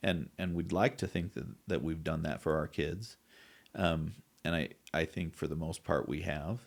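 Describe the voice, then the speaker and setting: In an American accent, a man with a very deep, low pitch and vocal fry speaks at a moderate pace with ordinary pitch variation. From US West (southeast Idaho). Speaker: wound care therapist. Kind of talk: podcast interview. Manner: halting.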